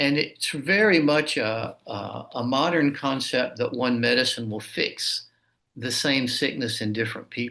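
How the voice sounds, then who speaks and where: At a fairly slow pace, a man speaks in a bright, sharp tone. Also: medium pitch for a man, ordinary pitch variation. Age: 60s. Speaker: martial arts teacher and author. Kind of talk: interview conversation.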